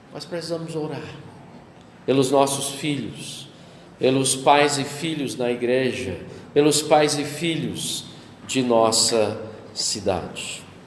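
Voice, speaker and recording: A man talks at a very slow pace with long, frequent pauses, his pitch fairly high and its variation ordinary. Noticeable background noise and audible room echo surround him. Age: 60s. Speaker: pastor. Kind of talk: sermon.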